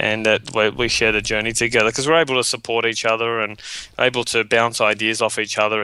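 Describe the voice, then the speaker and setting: With an Australian accent, a man talks at a fairly quick pace in a medium pitch, his bright, sharp tone delivered in a monotone, flat intonation. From Australia, western suburbs of Sydney. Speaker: webinar marketing trainer. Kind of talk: interview.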